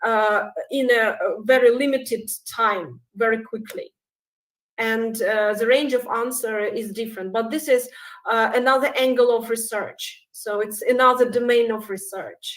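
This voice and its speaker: With a Russian accent, a woman speaks at a fairly slow pace. Her pitch is fairly high, and her intonation is fairly even. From Belarus. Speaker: researcher. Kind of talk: conference Q&A. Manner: halting, many hesitations.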